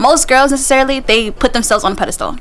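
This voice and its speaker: Over noticeable background noise, a woman in a New York accent talks very fast with fairly even intonation. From Queens, New York, Guyanese family. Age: 20s. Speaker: guest. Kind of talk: casual chat.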